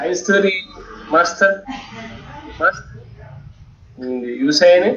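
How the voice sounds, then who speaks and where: Against noticeable background noise, a man talks very slowly with long, frequent pauses. His pitch is high and his intonation lively. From Colombia, Santander. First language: Spanish. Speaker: student. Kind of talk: language practice speaking. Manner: halting.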